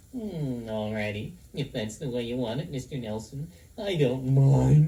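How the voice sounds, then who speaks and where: This man puts on a character voice. His pace is moderate. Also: medium pitch for a man. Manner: sad, polite.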